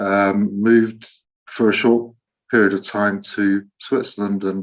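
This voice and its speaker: In an English accent, a man speaks at a fairly low pitch with monotone, flat intonation. The background is quiet. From England, Leicester. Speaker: Rotary volunteer in Ukraine. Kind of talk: online meeting presentation.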